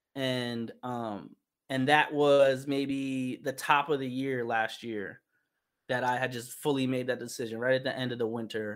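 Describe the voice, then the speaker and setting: The speaker has a New York accent and monotone, flat intonation at a fairly slow pace. The recording is very clean, with a silent background. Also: man, medium pitch for a man. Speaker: visual artist and musician. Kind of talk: casual interview.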